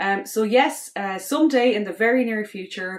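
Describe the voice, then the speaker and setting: A woman in an Irish accent speaks at a moderate pace with ordinary pitch variation. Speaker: space university faculty member, astronaut candidate. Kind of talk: prepared self-introduction.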